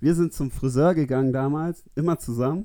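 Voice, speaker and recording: Here a man speaks at a moderate pace in a dark, mellow tone. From Namibia. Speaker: surfer. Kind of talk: casual chat.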